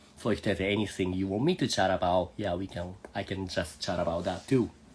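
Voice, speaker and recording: Speaking fairly quickly, a man with a very deep, low pitch sounds somewhat breathy and keeps his intonation fairly even. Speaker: Japanese language teacher. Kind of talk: live online language lesson. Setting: social media live video call. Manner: casual, friendly.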